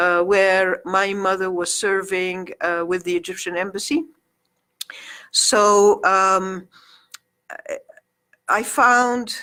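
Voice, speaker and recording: In a bright, sharp tone, a woman speaks very slowly at medium pitch with ordinary pitch variation, leaving long, frequent pauses. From Egypt. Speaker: community activist and magazine publisher. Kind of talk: radio interview. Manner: halting.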